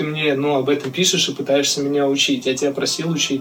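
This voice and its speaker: Noticeable background noise is present. The talking itself moves fairly quickly. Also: man. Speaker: hip-hop artist and music producer. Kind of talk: casual chat. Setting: video call.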